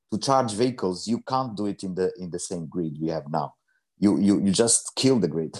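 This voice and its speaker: Fairly quick male speech in a Portuguese accent, with very wide pitch swings against a quiet background. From Portugal. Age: 50s. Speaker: energy entrepreneur. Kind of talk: interview. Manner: halting.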